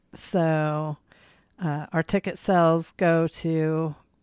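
A woman with an East Tennessee accent speaks in a fairly low, monotone voice with flat intonation on a very clean recording with a silent background. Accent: US Southern (East Tennessee). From East Tennessee (Kodak). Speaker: podcast co-host and drag show organizer. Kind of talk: casual chat.

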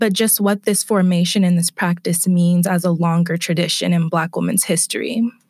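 A woman with an American accent at a fairly low pitch, moderate pace and fairly even intonation, in an unremarkable speaking voice. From California, Bay Area. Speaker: PhD student in literature. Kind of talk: interview.

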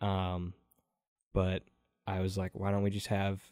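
Monotone, flat speech from a man with an American accent, a fairly low pitch and a dark, mellow tone, in a dry, close sound with no echo on a very clean recording with a silent background. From Wisconsin, Door County. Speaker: college radio host. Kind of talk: casual interview chat.

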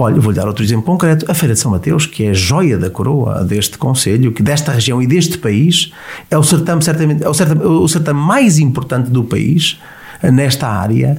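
A man speaks at a fairly quick pace in a fairly high pitch, with lively intonation, very even loudness and noticeable background noise. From Portugal, Viseu. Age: 40s. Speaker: politician. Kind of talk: interview.

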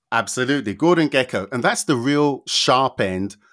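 A man's normal speaking voice, lively in intonation, with a dry, close sound and no echo. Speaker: consultant and researcher on workplace inclusion, chartered accountant. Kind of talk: casual interview conversation. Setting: remote podcast recording.

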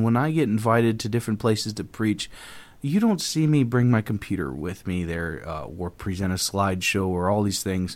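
The speaker's pitch swings very widely at a moderate pace. The recording is very clean, with a silent background. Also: man. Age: 30s. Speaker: pastor and podcast host. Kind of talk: solo podcast monologue on faith. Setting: office in front of a microphone. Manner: hesitant, with fillers and repetitions.

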